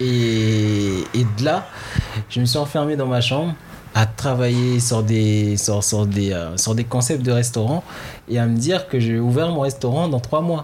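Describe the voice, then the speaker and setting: At a fairly slow pace, a man of medium pitch talks with ordinary pitch variation and very even loudness, with noticeable background noise and audible room echo. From French Guiana, Haitian parents, in France since 2000. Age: 20s. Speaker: chef and restaurant owner. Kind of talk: interview. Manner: halting.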